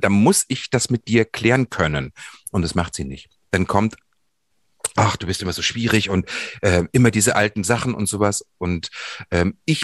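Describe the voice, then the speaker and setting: Speech at a moderate pace with long, frequent pauses, ordinary pitch variation, and a dry, close sound with no echo. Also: man, fairly low pitch for a man. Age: 50s. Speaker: podcast co-host. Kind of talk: personal conversation on a podcast.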